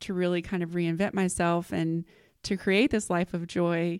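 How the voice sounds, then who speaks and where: A normal speaking voice with an American accent comes through at a moderate pace, dry and close with no echo. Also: woman. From Texas, small town. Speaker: business leader and entrepreneur. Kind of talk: casual interview.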